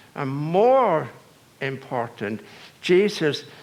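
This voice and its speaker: A man with an Irish accent speaks at a fairly high pitch, and the room echo is audible. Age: 80s+. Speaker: priest. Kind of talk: sermon. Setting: church. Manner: halting.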